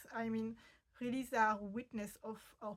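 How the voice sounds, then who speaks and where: A woman with a French accent speaks at a fairly high pitch with fairly even intonation. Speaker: fashion history video host. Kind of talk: explainer video. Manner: hesitant, many fillers.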